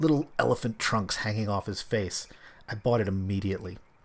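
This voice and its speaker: On a very clean recording with a silent background, a man with an American accent and an ordinary speaking voice talks at a moderate pace, fairly low in pitch with ordinary pitch variation. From US East Coast, Philadelphia. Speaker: podcast host. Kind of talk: solo podcast monologue.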